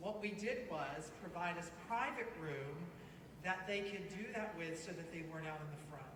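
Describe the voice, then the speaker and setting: The speaker has a Southern US accent and talks at a moderate pace. Noticeable background noise runs underneath. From Florida. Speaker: candidate for county office. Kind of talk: panel discussion. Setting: mosque community meeting.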